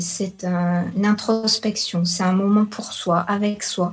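Against noticeable background noise, a woman speaks very slowly in a flat, monotone way. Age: 40s. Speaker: yoga teacher and nutritionist. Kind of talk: radio interview.

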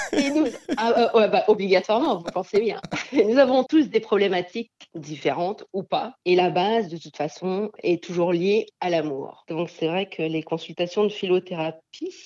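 Against a quiet background, a woman with a medium pitch and a dark, mellow tone speaks at a moderate pace with lively intonation and big swings in loudness. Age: 40s. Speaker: therapist and medium. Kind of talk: radio interview. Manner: halting.

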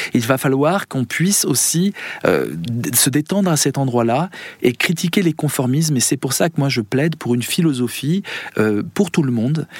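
A man speaks in a plain, everyday voice at a fairly high pitch and a moderate pace, with ordinary pitch variation, very even loudness, and a dry, close sound with no echo. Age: 50s. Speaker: philosopher and musician. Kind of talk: radio interview.

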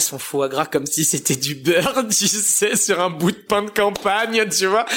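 There is noticeable background noise behind a man as he speaks. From France, Italian family. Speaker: pizza chef. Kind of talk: interview. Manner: casual.

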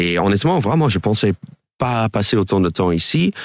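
A man's fairly slow speech with lively intonation. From New York suburbs, US. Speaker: stand-up comedian. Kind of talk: radio interview. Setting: radio studio. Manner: hesitant, filler-heavy.

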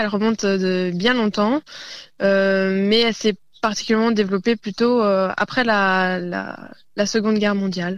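Against a quiet background, a woman of medium pitch speaks at a fairly slow pace with fairly even intonation. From Burgundy, France (northern Côte-d'Or). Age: 20s. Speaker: traditional dancer and teacher. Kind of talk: radio interview. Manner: hesitant, many fillers.

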